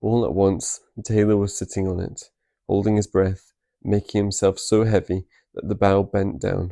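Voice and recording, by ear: Against a quiet background, a natural voice reads aloud.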